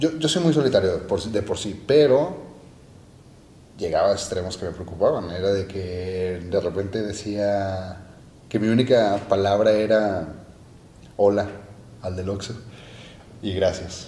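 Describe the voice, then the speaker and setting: A man's fairly low-pitched, dark, mellow, somewhat breathy voice, fairly slow with ordinary pitch variation, long, frequent pauses and audible room echo. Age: 20s. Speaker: podcast host. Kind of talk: casual chat.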